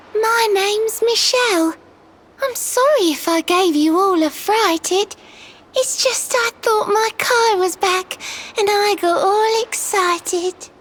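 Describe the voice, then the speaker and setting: An extremely high-pitched, cartoonish character voice, female-sounding, at a fairly slow pace. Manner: sing-song rhyming speech.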